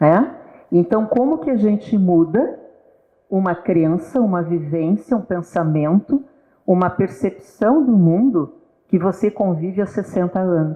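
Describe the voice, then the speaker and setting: Here is an ordinary speaking voice from a woman at medium pitch. She talks at a fairly slow pace with lively intonation. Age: 60s. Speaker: guest speaker on psychology talk. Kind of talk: casual talk show conversation. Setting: live stream.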